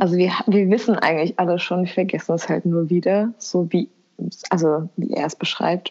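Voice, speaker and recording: Her voice is fairly low for a woman, with fairly even intonation. The woman keeps a moderate pace. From Kosovo. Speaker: podcast co-host. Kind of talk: casual chat. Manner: halting.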